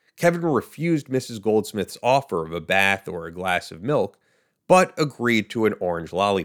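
A man with a fairly low pitch speaks in a serious tone with very wide pitch swings. The recording is very clean, with a silent background. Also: moderate pace, big swings in loudness. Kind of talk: true-crime narration. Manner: steady, measured, formal storytelling tone; serious, even-paced, like reading a news report.

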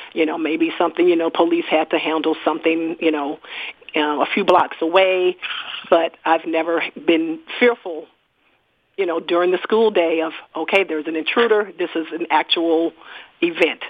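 A woman speaks in an American accent at a fairly low pitch. Her intonation stays fairly even at a moderate pace. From East St. Louis, Illinois. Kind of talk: interview. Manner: halting.

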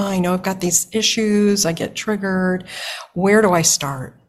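A woman with a normal speaking voice and medium pitch talks at a moderate pace. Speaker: podcast host. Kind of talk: interview conversation.

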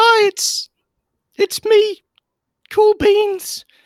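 A man uses a put-on character voice. It is squeaky and extremely high-pitched. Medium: actual play. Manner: stammering, flustered.

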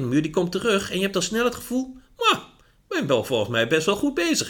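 High-pitched male speech full of very wide pitch swings. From Netherlands, Achterhoek. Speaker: management drives consultant. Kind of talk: podcast interview.

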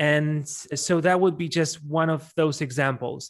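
Over a quiet background, a man with a Polish accent talks at a moderate pace, his pitch fairly high and his intonation fairly even. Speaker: event MC. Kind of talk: interview. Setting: remote recording.

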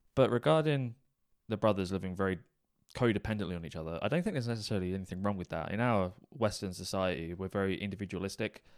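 A very fast-talking man is heard on a very clean recording with a silent background. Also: fairly low pitch for a man, ordinary pitch variation. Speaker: true crime podcast co-host. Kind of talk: casual chat. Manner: fast talker.

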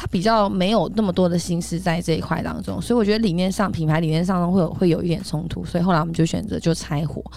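A woman at a very fast pace, with a fairly low pitch, ordinary pitch variation and vocal fry. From Taiwan, Taipei. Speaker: entrepreneur and image coach. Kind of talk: interview.

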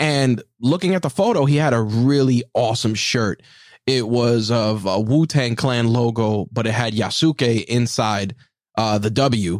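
Recorded very cleanly against a silent background, a man speaks at a fairly slow pace with medium pitch, ordinary pitch variation and very even loudness. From New York. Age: 40s. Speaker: podcast host. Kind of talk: casual interview chat; scripted intro.

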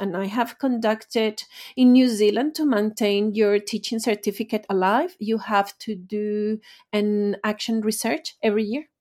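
Speaking with a Spanish accent, a woman talks at a fairly slow pace and a fairly high pitch, with ordinary pitch variation. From Venezuela. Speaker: language teacher and author. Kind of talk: interview.

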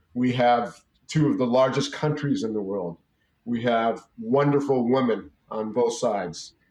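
A man with an unremarkable speaking voice, medium pitch, ordinary pitch variation, and a fairly slow pace. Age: 50s. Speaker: businessman. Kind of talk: interview.

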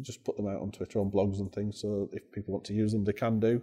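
Against a quiet background, a man with a Yorkshire accent speaks in a dark, mellow tone. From northern England. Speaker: head teacher. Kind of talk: interview. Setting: education conference.

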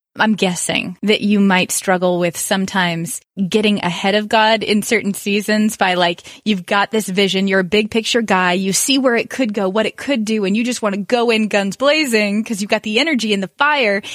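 A woman has a plain, everyday voice at medium pitch with ordinary pitch variation. She goes at a fairly quick pace with hardly any pauses. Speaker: interviewer, friend of host. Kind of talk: casual interview.

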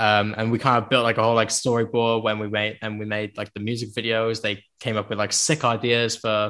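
The voice has a Cardiff accent and a bright, sharp tone, moving at a moderate pace. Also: man. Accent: Welsh (Cardiff area). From South Wales, Penarth near Cardiff. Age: 20s. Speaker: musician. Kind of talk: casual interview chat. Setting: video call.

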